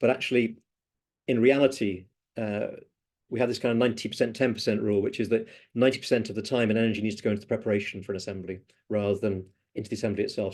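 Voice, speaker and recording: A man at medium pitch and a very fast pace, with fairly even intonation, against a quiet background. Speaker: democracy trainer. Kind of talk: online training session.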